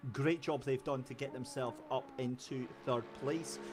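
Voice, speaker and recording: This man speaks in a Scottish accent at a medium pitch. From Scotland. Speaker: sim racing commentator. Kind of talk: live commentary. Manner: animated.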